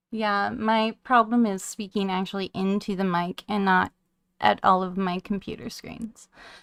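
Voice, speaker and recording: A soft-spoken woman at a medium pitch, with monotone, flat intonation and a fairly slow pace, in a dry, close sound with no echo. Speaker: radio show co-host. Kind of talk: casual chat.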